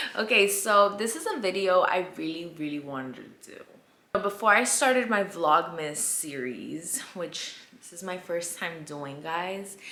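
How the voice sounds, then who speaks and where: A woman's medium-pitched voice, animated and lively in intonation, at a fairly slow pace with big swings in loudness amid noticeable background noise. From US, immigrant from Colombia at age five. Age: 20s. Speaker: vlogger. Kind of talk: storytime vlog. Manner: casual, animated.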